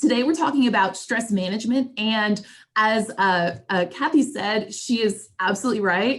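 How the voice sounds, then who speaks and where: A woman speaks in a normal speaking voice at medium pitch. Her pace is moderate and her pitch varies in an ordinary way. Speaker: trainer. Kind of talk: lecture.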